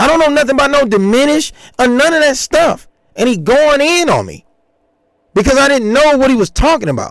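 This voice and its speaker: This man's voice is extremely high-pitched, with an animated tone. He moves at a fairly quick pace with ordinary pitch variation. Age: 40s. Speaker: musician and channel owner responding to rumors. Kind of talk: casual livestream rant.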